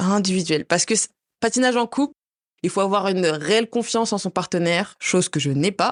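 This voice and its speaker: A woman in an ordinary speaking voice talks at a fairly quick pace with medium pitch, lively intonation and very even loudness, in a dry, close sound with no echo against a quiet background. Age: 20s. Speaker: figure skater. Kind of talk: interview.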